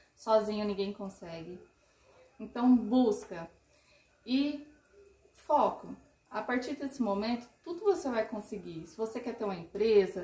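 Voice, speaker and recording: Fairly slow and fairly high in pitch with ordinary variation, a woman speaks in a plain, everyday voice. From interior of São Paulo state, Brazil. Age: 30s. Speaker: marketing consultant. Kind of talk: podcast interview.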